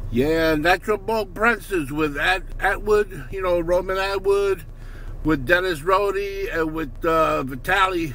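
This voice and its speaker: A man speaks at a fairly slow pace in a high pitch, with ordinary pitch variation. The sound is dry with no echo, over light background noise. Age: old. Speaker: vlogger. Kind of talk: casual vlog monologue. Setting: in a car. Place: car. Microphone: phone near.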